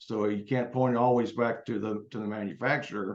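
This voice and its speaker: A man talks in a normal speaking voice. His pitch is medium and his pace moderate. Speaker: state building code official. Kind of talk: panel presentation.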